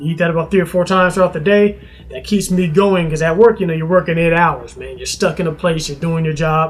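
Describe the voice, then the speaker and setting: A man's high-pitched voice at a very fast pace, fairly even in intonation, with big swings in loudness and noticeable background noise. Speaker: fitness vlogger. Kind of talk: casual vlog talk to camera. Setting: at home.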